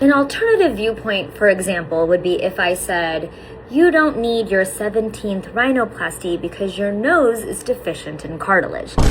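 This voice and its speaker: Her intonation lively, a woman of medium pitch talks at a moderate pace over noticeable background noise. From India. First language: not English. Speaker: plastic surgeon and commentary creator. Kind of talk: reaction commentary.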